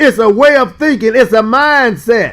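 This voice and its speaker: This man talks at a fairly slow pace with an animated tone. His pitch is extremely high. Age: 60s. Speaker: pastor. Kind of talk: bible study teaching. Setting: live stream.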